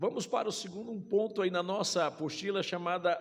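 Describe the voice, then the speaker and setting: Audible room echo surrounds a man speaking at a moderate pace, his pitch high with ordinary variation. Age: 60s. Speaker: pastor. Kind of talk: sermon. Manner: speaks in short phrases for interpreter.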